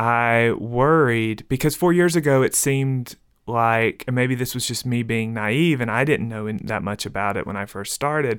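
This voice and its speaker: A man with a Mississippi accent speaks at a moderate pace with ordinary pitch variation, on a very clean recording with a silent background. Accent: Southern US (Mississippi). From rural Mississippi, US South. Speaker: novelist and professor. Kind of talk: interview.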